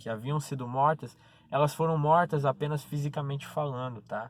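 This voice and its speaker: At a moderate pace, a man talks in a somewhat breathy voice pitched fairly high. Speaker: preacher. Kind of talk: sermon.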